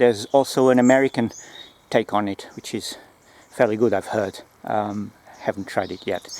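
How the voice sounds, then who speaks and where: There is a non-native accent in this man's speech. He keeps a moderate pace. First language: not English. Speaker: gear reviewer, former close protection operative. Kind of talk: product review video. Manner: halting, many fillers and restarts.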